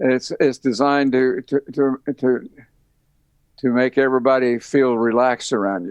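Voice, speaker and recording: At a moderate pace and with fairly even intonation, this voice has a slight Southern US accent and a dry, close sound with no echo. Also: man, medium pitch for a man. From Tennessee. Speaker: retired university band director. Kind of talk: interview conversation. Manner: halting, many repetitions.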